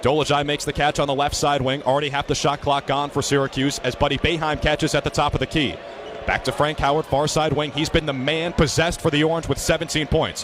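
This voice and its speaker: A man with a fairly high pitch, very fast pace and very even loudness, against noticeable background noise. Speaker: student sports broadcaster. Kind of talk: live college basketball play-by-play. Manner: fast, excited, dynamic.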